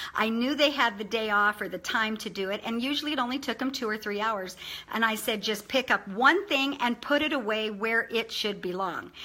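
A woman speaks at a fairly quick pace with hardly any pauses, her fairly high voice bright and sharp in tone. She sounds animated, with ordinary pitch variation. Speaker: online video presenter. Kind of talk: informal motivational talk. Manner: fast talker. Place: home room. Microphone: webcam.

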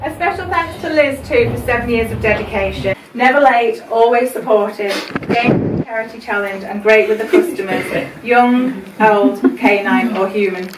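A woman's moderate pace of speech comes through noticeable background noise. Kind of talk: celebration speech. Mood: warm, emotional, smiling. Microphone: camera far.

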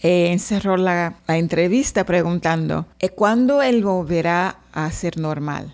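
A woman speaks with a Portuguese accent at a fairly slow pace. Her pitch is medium, with ordinary pitch variation. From Brazil, Salvador, Bahia. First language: Portuguese (speaking Spanish). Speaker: translator and interpreter. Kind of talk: interview. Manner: halting.

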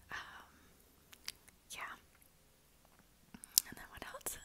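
A woman whispering in a relaxed tone. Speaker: ASMR creator who works in human resources. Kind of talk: ASMR whisper ramble. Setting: lo-fi home recording. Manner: whispered, relaxed, rambling. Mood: relaxed, smiling. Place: home room. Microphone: earbuds.

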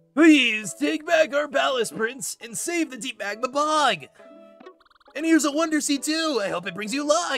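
A man does a strained, put-on character voice at an extremely high pitch, at a moderate pace, with faint music in the background. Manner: pleading, earnest.

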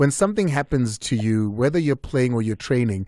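With a dark, mellow tone and lively intonation, a man talks at a fairly quick pace in a dry sound with no echo over a quiet background. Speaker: radio sports show host. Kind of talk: radio talk show hosting. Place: studio. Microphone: studio mic.

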